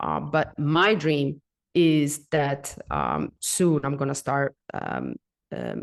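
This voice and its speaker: A woman speaks at a very slow pace with a non-native accent, recorded dry and close with no echo. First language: not English. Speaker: coffee consultant and educator. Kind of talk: podcast interview. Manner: halting, many fillers and repeats.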